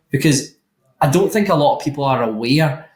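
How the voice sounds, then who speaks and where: This man talks at a fairly quick pace in a somewhat breathy voice. His pitch is fairly high, with ordinary variation. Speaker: roofing recruiter and interviewer. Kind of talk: podcast interview.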